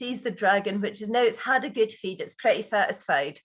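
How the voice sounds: The reading sounds natural throughout.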